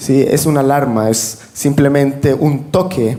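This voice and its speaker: A man's fairly high pitch with ordinary variation, amid audible room echo and noticeable background noise. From Venezuela. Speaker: religious panel guest. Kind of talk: religious panel discussion.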